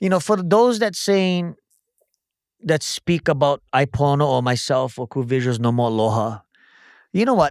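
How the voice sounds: A man at a fairly high pitch and moderate pace, lively intonation, in a very clean recording with a silent background.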